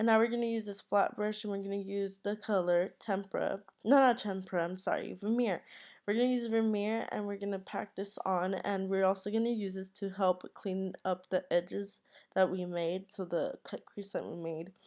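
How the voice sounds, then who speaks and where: The speech moves at a moderate pace. Its intonation is fairly even. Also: woman, medium pitch for a woman. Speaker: beauty vlogger. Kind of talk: tutorial. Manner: casual; halting.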